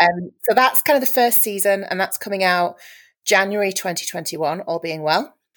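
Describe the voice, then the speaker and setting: A woman speaks in a Yorkshire accent at a moderate pace. Her pitch sits in the medium range with ordinary variation. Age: 40s. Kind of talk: casual chat.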